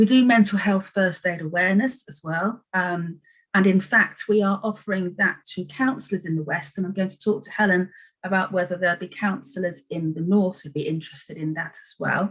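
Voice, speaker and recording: A somewhat breathy woman talks at a fairly quick pace, with ordinary pitch variation. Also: medium pitch for a woman, big swings in loudness. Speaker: adult education service presenter. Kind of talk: presentation to council panel. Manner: fast.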